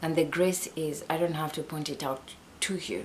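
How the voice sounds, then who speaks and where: Slow-ish and fairly even in intonation, a woman speaks at a very deep, low pitch with a non-native accent. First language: not English. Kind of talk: Bible teaching talk. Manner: halting.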